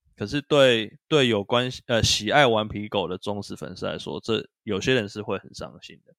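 With an ordinary speaking voice and fairly low pitch, a man talks at a moderate pace with ordinary pitch variation, big swings in loudness and hardly any pauses, on a very clean recording with a silent background. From northern Taiwan, Taipei. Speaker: podcast co-host. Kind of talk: casual chat about video games.

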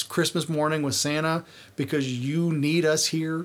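A man with a normal speaking voice, fairly high pitch, fairly even intonation and a fairly slow pace. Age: 30s. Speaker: podcast host. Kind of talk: casual comedic chat, profane.

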